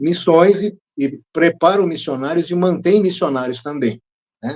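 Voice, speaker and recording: Speaking fairly slowly, a man uses a fairly high pitch. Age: 60s. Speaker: speaker on drug addiction, behavioral therapist. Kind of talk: interview. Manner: halting.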